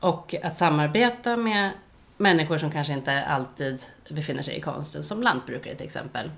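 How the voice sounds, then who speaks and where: Her pitch very deep and low, a woman speaks at a moderate pace with lively intonation. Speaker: artist. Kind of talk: casual chat. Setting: at her home.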